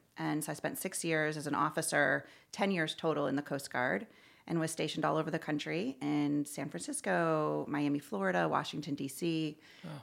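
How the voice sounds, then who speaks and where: Woman with an American accent, very deep low pitch, vocal fry, lively intonation, moderate pace, and a very clean recording with a silent background. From Connecticut, near Hartford. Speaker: nonprofit executive. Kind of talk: interview.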